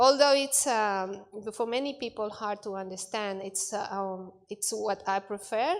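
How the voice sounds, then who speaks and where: A woman with a Spanish accent at a fairly high pitch and fairly slow pace, on a very clean recording with a silent background. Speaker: bible college student. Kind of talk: class presentation. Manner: halting, many fillers.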